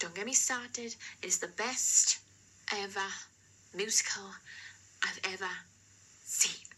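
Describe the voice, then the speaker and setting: A woman whispering in a South Wales accent at a fairly slow pace, with long, frequent pauses. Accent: South Wales Valleys. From Wales, the Valleys. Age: 20s. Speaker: amateur painter, vlogger. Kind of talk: casual chat to camera. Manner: hesitant, many fillers.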